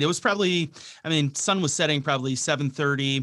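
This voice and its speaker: Here a man speaks with a Wisconsin accent. His pitch is fairly high and varies in an ordinary way. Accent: Upper Midwest (Wisconsin). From Wisconsin, Milwaukee. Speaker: radio host and bow hunter. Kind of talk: casual chat.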